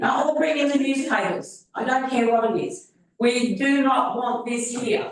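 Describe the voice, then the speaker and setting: In an Australian accent, a woman talks at a fairly slow pace with a high pitch and ordinary pitch variation, with audible room echo. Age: 70s. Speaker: resident asking questions at council meeting. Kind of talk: public question time. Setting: council chamber. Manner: animated.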